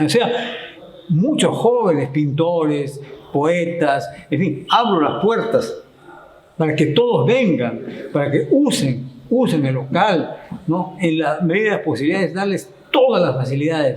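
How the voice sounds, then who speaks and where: Talking at a fairly slow pace with long, frequent pauses, a man uses lively intonation at a fairly high pitch, with audible room echo and noticeable background noise. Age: 70s. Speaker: local historian and chronicler. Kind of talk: interview.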